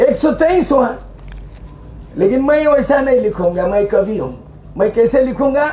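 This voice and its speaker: Someone speaks loudly and very slowly over noticeable background noise. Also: man. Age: 70s. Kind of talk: public speech.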